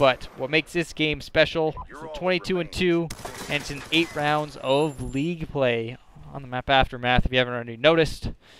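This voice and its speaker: Over noticeable background noise, a man talks at a fairly quick pace with a fairly high pitch. His intonation stays fairly even while his loudness swings widely. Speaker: gaming commentator. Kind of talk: gameplay commentary.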